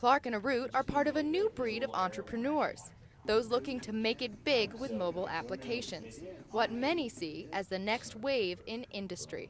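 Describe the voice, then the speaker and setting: A woman with a fairly high pitch and lively intonation speaks at a moderate pace in a plain, everyday voice. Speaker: TV news reporter. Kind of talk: TV news package narration.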